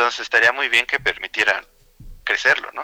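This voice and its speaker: A man talks at a fairly quick pace, the sound dry and close with no echo. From Mexico City. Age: 30s. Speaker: video game editor. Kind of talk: casual interview. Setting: radio studio.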